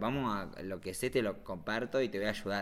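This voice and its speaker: A man with a normal speaking voice talks at a moderate pace, his fairly low pitch showing ordinary variation. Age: 30s. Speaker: visual artist and motion designer. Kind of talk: casual chat.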